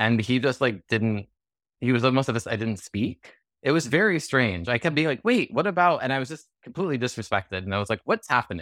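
Very fast and with lively intonation, a man with an American accent speaks at a medium pitch. The recording is very clean with a silent background, dry and close with no echo. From California. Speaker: actor. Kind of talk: interview.

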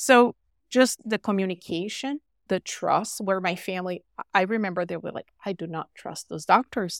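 In a Portuguese accent, a woman with a medium pitch talks at a moderate pace with ordinary pitch variation and big swings in loudness, the sound dry and close with no echo on a very clean recording with a silent background. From Brazil. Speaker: physician. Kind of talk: podcast interview.

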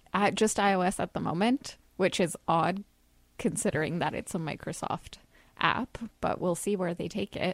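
The recording is dry and close, with no echo. A woman speaks at medium pitch and a moderate pace, with ordinary pitch variation. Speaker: app reviewer. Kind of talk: casual chat. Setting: studio.

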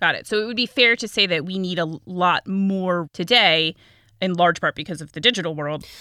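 At a fairly quick pace, a woman speaks in a medium pitch with a bright, sharp tone and ordinary pitch variation, the sound dry and close with no echo. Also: big swings in loudness. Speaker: podcast host. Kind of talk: casual interview. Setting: remote interview. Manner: rising intonation on questions.

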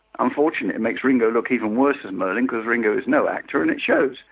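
A man talks with a London accent. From East End of London. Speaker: film editor. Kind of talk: interview. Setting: phone call.

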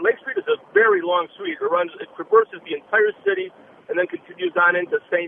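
With an Upper Midwest accent, the speaker goes at a moderate pace against noticeable background noise. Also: man. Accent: Upper Midwest American. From Minneapolis, Minnesota. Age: 60s. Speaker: caller, rideshare driver. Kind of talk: phone-in call. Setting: phone call from a car.

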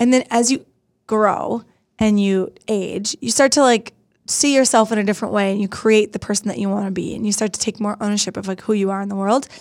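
Over a silent background in a very clean recording, a woman speaks in a plain, everyday voice at a fairly quick pace and fairly high pitch. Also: fairly even intonation. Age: 30s. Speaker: podcast host. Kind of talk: casual chat.

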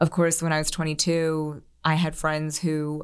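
A woman's normal speaking voice, fairly low in pitch, at a fairly slow pace, on a very clean recording with a silent background. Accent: American. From US Northeast, Philadelphia suburbs. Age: 30s. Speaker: social media creator. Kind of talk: casual chat.

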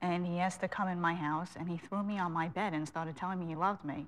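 Speaking at a very fast pace with a Long Island accent and fairly even intonation, a woman is heard on a very clean recording with a silent background. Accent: Long Island New York. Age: 30s. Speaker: interview guest, former prisoner. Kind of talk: tv interview. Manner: hesitant, many fillers.

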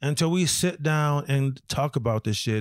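On a very clean recording with a silent background, a man with an American accent and a plain, everyday voice speaks at a fairly high pitch with ordinary pitch variation. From Rochester, New York inner city. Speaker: comedian, military veteran. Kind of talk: casual chat. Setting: in host's home.

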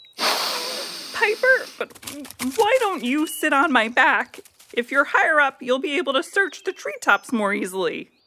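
Female-sounding put-on character voice, high pitch for a woman, very wide pitch swings, moderate pace. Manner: dry, a bit grumpy, then organizing.

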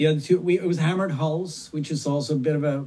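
The tone is dark and mellow, with a fairly high pitch. A man speaks at a moderate pace. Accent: Swedish. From Sweden. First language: Swedish. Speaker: punk singer and record collector. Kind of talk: interview.

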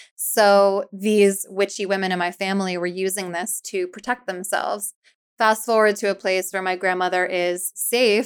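A woman at medium pitch in a monotone, flat intonation, in a very clean recording with a silent background. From US Northeast, Philadelphia area. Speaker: author and YouTuber on faith. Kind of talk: casual interview chat.

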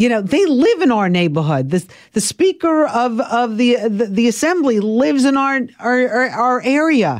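The speaker has an American accent. The pitch swings very widely. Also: woman. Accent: Brooklyn New York, slightly cleaned up. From Brooklyn, New York. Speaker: morning TV show co-host. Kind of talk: casual interview chat.

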